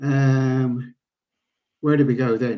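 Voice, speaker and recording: The voice has a dark, mellow tone. It carries an English accent. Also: man. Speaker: pool veteran and organiser. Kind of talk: podcast interview. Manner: halting.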